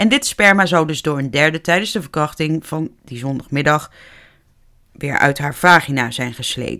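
On a very clean recording with a silent background, a woman with a very deep, low pitch and a bright, sharp tone speaks at a moderate pace, showing ordinary pitch variation and big swings in loudness. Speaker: true crime podcaster. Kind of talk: true crime storytelling. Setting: home office.

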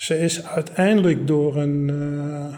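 A man's fairly high voice with fairly even intonation, over noticeable background noise. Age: 70s. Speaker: war evacuee eyewitness. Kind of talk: oral history interview.

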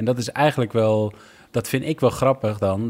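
Fairly quick and fairly low, a man's normal speaking voice carries ordinary pitch variation in a very clean recording with a silent background. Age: 40s. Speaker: cycling team director, former pro cyclist. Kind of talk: interview. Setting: hotel room.

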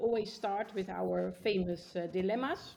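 With a Dutch accent, a woman speaks at a fairly slow pace in a somewhat breathy, dark, mellow tone, her medium pitch showing ordinary variation. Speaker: travel podcast co-host. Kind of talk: casual interview.

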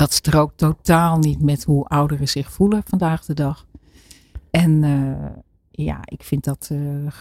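The voice has a dark, mellow tone and fairly even intonation, delivered very slowly in a dry, close sound with no echo. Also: woman. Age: 60s. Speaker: author and program maker. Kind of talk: casual chat. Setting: studio.

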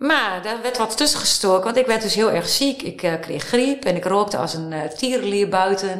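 A woman's ordinary speaking voice, medium in pitch, at a moderate pace with lively intonation. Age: 50s. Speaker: writer and life-course therapist. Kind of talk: interview.

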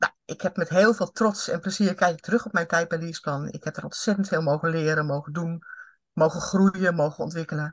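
Recorded dry and close with no echo against a quiet background, a woman speaks at a fairly quick pace in a somewhat breathy, fairly low voice, with fairly even intonation and big swings in loudness. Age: 50s. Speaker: HR consultant and coach. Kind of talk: interview.

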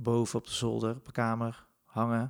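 Speaking at a fairly slow pace, a man is heard in a very clean recording with a silent background. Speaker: podcast host. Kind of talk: casual personal monologue. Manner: hesitant, many filler sounds.

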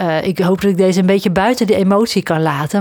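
This female speaker has a plain, everyday voice with a medium pitch. She keeps to a moderate pace. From southern Netherlands near Belgian border. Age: 40s. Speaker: coach and podcast host. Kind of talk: solo podcast monologue.

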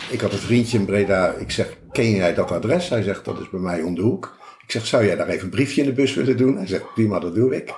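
Talking very fast with hardly any pauses, a man uses lively intonation at a fairly low pitch. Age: 60s. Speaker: retired self-builder and emigrant. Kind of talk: interview conversation.

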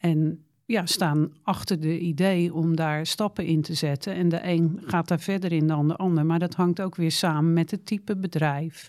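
A woman talks in a plain, everyday voice with a fairly low pitch, at a fairly slow pace with hardly any pauses. Her loudness is very even and her intonation fairly even, in a very clean recording with a silent background. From Netherlands, Rotterdam. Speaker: local politician. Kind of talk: interview.

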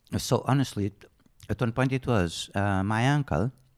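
A man with a Portuguese accent uses lively intonation, and the sound is dry and close with no echo. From Portugal. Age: 50s. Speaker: horse rider and riding instructor. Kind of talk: interview. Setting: living room at home.

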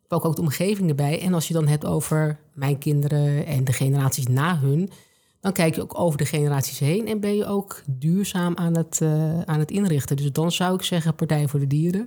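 Her very deep, low pitch and dark, mellow tone come at a moderate pace, as this woman keeps her loudness very even and varies her pitch in an ordinary way.

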